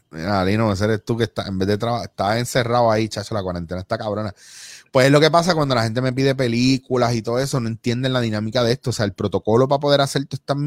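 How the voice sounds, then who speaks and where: A man speaks very fast with a Puerto Rican accent at a medium pitch and ordinary pitch variation. The sound is dry and close with no echo. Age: 40s. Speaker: actor and improv comedian. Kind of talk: casual chat.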